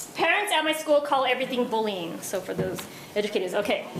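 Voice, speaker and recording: A woman speaks loudly at a very fast pace, with audible room echo and noticeable background noise. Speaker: school district administrator. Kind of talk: conference talk. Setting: stage with live audience. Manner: animated.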